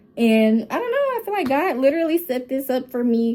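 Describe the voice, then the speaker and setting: A woman speaks at a fairly quick pace. Her tone is animated. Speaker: women empowerment coach and podcaster. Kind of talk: casual podcast monologue.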